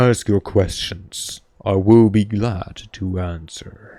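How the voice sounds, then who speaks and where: A man puts on a booming character voice. He speaks at a very slow pace. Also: fairly low pitch for a man. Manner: proper, grand.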